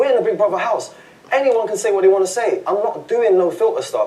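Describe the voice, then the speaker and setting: Talking at a very fast pace in an animated tone, a man is heard over noticeable background noise. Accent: London. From London. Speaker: reality TV contestant. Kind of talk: heated argument. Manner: loud.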